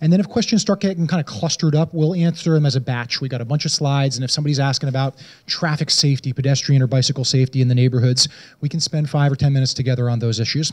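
A man speaks very fast at a fairly high pitch, somewhat breathy. His pitch varies in an ordinary way. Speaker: city transportation director. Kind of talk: public meeting moderation. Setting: community meeting with audience. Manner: informal, friendly. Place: hall. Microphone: handheld.

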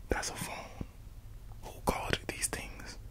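A man speaks softly at a fairly slow pace. Loud background noise fills the recording. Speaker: content creator. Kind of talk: ASMR-style rambling monologue. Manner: soft, close-mic ASMR murmur. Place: home room. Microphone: studio mic.

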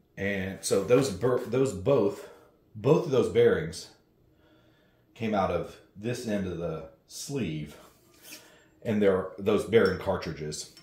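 In a room with audible echo, a man speaks very slowly at a fairly low pitch. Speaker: home gym reviewer. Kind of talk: tutorial.

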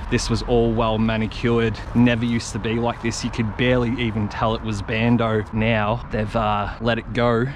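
A man speaks at a moderate pace with monotone, flat intonation. The sound is dry with no echo, and there is noticeable background noise. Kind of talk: casual vlog commentary. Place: garden. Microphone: camera far.

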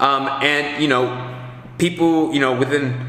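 Faint background noise sits under a man with a medium pitch and fairly bright tone, speaking fairly slowly with fairly even intonation.

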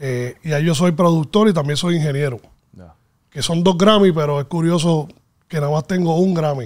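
Against a quiet background, a man speaks at a moderate pace with big swings in loudness. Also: fairly high pitch for a man, ordinary pitch variation. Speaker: music producer and mixing engineer; guest. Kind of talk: interview. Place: studio. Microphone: studio mic.

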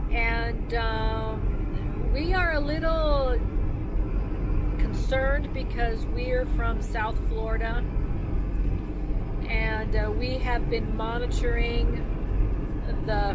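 A woman speaks at a very slow pace with long, frequent pauses. The sound is dry with no echo, and loud background noise comes through. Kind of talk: casual vlog chat. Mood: slightly worried, hesitant. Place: car. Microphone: camera far.

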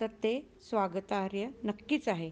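A woman speaks with ordinary pitch variation. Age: 50s. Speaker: recitation contest participant. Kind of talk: prepared speech.

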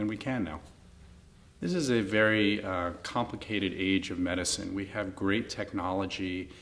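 In an American accent, a man speaks with a fairly low pitch and fairly even intonation. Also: moderate pace. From New York City. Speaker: neurologist. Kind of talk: interview monologue. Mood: warm, sincere. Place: studio.

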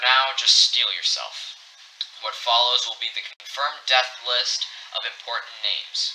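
A man speaks in a deadpan tone at a fairly slow pace, with noticeable background noise. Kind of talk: emergency broadcast fiction. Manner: grave, urgent, formal newsreader tone; deadpan delivery of absurd names.

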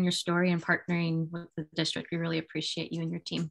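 Speaking at a very fast pace, a woman is heard over a quiet background. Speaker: club meeting moderator. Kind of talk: meeting introductions. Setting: video call. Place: home room. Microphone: webcam.

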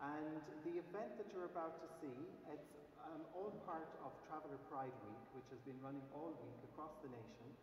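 A man's fairly high voice in an Irish accent, at a moderate pace with ordinary pitch variation, amid audible room echo and noticeable background noise. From Ireland. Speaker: gallery curator; event host. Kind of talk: event introduction. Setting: cathedral with live audience. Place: church.

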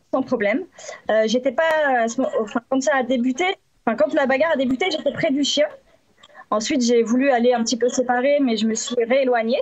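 The speaker talks at a fairly quick pace with fairly even intonation and very even loudness against a quiet background. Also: woman, high pitch for a woman. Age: 30s. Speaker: dog bite victim, witness; witness. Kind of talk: testimony. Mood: serious, slightly hesitant. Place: home room. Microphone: video call.

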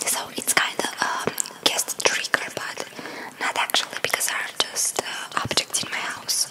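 A fairly slow whisper. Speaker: ASMR creator. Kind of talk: ASMR guess-the-trigger talk to camera. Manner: whispered. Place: home room. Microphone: studio mic.

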